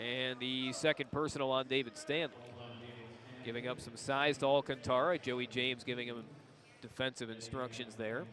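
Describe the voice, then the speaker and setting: A man talks at a medium pitch while noticeable background noise hums behind him. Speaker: sports play-by-play announcer. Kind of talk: basketball play-by-play commentary. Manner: fast, energetic.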